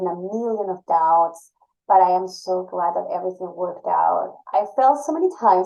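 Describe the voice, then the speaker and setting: A woman with a Spanish accent, medium pitch, ordinary pitch variation and a dark, mellow tone. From Ecuador. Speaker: university admissions administrator. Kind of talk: podcast interview.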